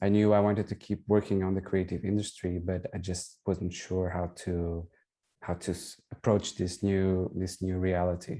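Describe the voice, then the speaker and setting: In a Portuguese accent, a man speaks at a moderate pace with a very deep, low pitch and a dark, mellow tone. His intonation is monotone and flat, and the recording is very clean with a silent background. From Portugal. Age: 40s. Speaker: digital consultant and designer. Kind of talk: testimonial interview. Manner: hesitant, with fillers.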